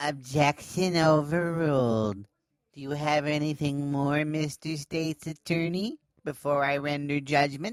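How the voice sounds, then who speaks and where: A put-on character voice at a low-to-middle pitch and a moderate pace. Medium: audio drama. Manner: curt, officious.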